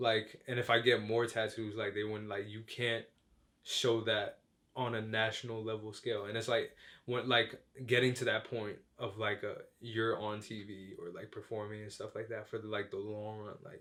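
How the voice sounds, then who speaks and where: A man speaks at medium pitch with monotone, flat intonation. His loudness swings a lot. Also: moderate pace. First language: Chinese. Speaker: rapper and music producer. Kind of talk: casual interview. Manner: casual, filler-heavy.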